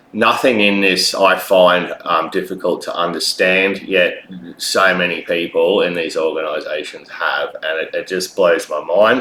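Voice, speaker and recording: A man with an Australian accent at a fairly slow pace, amid noticeable background noise. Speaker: vlogger. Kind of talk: personal video monologue. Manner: halting, many fillers.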